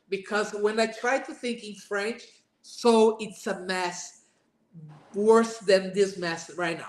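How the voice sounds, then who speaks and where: A woman with a Portuguese accent talks very slowly at a fairly high pitch, with ordinary pitch variation. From Brazil. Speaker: burnout speaker, former manager. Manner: halting.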